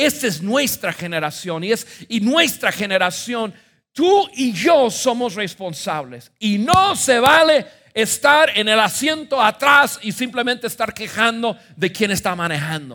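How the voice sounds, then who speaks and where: A man's raised, projected voice, high-pitched, bright and sharp, with an animated tone and very wide pitch swings, at a fairly slow pace with hardly any pauses. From United States. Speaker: pastor. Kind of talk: sermon.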